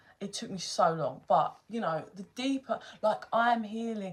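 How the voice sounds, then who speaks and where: A woman talks in an animated tone with a London accent. Her pitch is fairly high. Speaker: tarot reader. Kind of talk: casual chat on a livestream.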